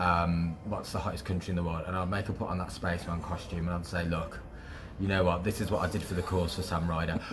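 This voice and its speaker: Speaking at a very fast pace with a very deep, low pitch, a man with a West Midlands accent is heard through noticeable background noise and audible room echo. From West Midlands, England. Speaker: radio presenter. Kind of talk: casual interview. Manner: animated.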